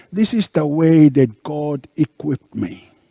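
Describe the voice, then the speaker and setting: A man with a Tongan accent speaks in a dark, mellow tone, with a dry, close sound and no echo. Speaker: minister. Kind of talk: interview. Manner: halting.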